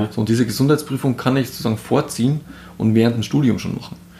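A man is talking at a very fast pace. His voice is somewhat breathy. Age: 30s. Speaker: insurance advisor. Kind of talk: interview. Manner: animated.

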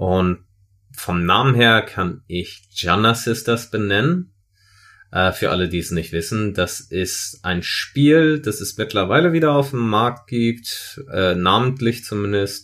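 On a very clean recording with a silent background, a man speaks at a very slow pace with lively intonation. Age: 30s. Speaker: podcast co-host. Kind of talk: casual chat.

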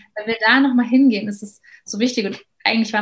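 A somewhat breathy woman talks at a fairly quick pace in a monotone, flat intonation. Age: 30s. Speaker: educator. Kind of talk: interview.

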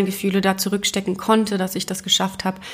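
Flat, monotone intonation from a woman at medium pitch. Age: 30s. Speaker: podcast host, single mother and graphic designer. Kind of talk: personal monologue podcast. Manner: casual with frequent filler words.

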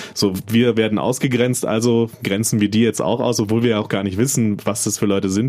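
A man with a fairly low pitch talks at a fairly quick pace with hardly any pauses, fairly even intonation, and very even loudness, against noticeable background noise. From North Rhine-Westphalia, small town. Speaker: podcast co-host. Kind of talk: casual chat. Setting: studio.

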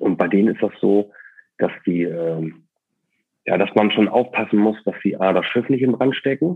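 Pausing often and at length, a man speaks at a moderate pace with a fairly low pitch and lively intonation. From northern Germany, East Frisia coast. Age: 30s. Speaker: ship captain running a sea burial company. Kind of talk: interview.

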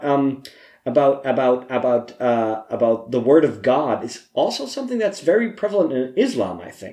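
Speaking at a moderate pace, a man uses a medium pitch with very wide pitch swings and big swings in loudness. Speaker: podcast co-host. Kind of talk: casual chat. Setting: home recording with drinks.

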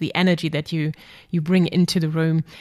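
A woman talks at a fairly quick pace. The recording is very clean, with a silent background. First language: German. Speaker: podcast host and psychologist. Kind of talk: interview.

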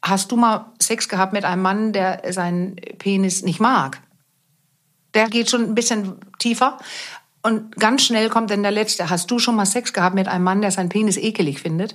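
A woman speaks at a moderate pace with a Danish accent. Her intonation stays fairly even, broken by long, frequent pauses. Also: medium pitch for a woman. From Denmark. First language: Danish (speaking German). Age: 50s. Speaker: sex therapist. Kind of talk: interview.

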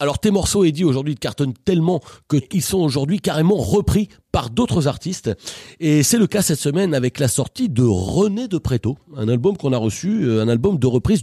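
Fairly quick and somewhat breathy, a man speaks at a fairly high pitch with a dark, mellow tone and very wide pitch swings in a dry, close sound with no echo. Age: older than the guest. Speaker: radio comedy show host. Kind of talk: comedic radio show. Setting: studio. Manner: animated.

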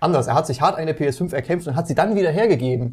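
Lively intonation runs through this man's speech. His voice is somewhat breathy. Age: 20s. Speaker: games journalist and podcast co-host. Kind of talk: casual chat.

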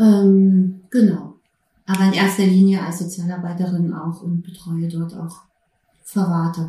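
The woman's voice is dark, mellow and somewhat breathy. She speaks at a fairly slow pace with monotone, flat intonation. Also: medium pitch for a woman. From Berlin, Germany. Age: 40s. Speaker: prison social worker with therapy dog. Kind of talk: interview. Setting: studio couch with dog present.

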